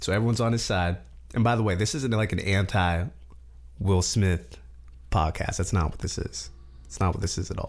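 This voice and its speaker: A man with a very deep, low voice and vocal fry talks at a fairly quick pace with very wide pitch swings and long, frequent pauses. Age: 20s. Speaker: podcast host. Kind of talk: casual solo commentary. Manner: animated.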